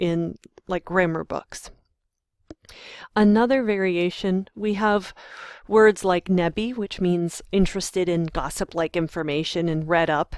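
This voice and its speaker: In a very clean recording with a silent background, a woman with an American accent talks at a fairly slow pace and medium pitch, with ordinary pitch variation and long, frequent pauses. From US, Western Pennsylvania. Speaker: university lecturer in linguistics. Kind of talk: lecture screencast. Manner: hesitant, many fillers.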